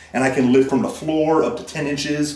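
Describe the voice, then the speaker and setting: There is audible room echo around a man's voice. He goes at a moderate pace with ordinary pitch variation. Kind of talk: interview answer. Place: garage.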